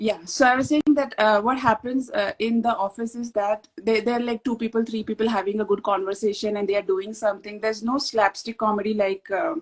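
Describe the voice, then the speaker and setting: A woman with an Indian accent, fairly high pitch and fairly even intonation, at a fairly quick pace with hardly any pauses, in a dry, close sound with no echo and noticeable background noise. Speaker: author. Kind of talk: casual chat.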